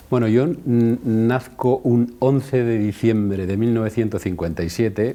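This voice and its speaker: Dark, mellow male voice with hardly any pauses. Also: medium pitch for a man, ordinary pitch variation, fairly slow pace. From Spain, Madrid region (Alcalá de Henares), born in Andalusia. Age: 60s. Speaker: osteopathy school director, physiotherapist. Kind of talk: interview. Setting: in Guadalajara, Mexico, at a university.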